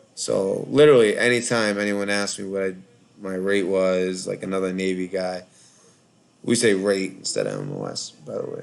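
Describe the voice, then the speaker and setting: This man's voice sits fairly low in pitch with ordinary pitch variation. He speaks at a moderate pace. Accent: Boston. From Boston, Massachusetts (Charlestown). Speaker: call-in show host, Navy veteran. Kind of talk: casual live call-in chat. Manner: rambling, hesitant with fillers.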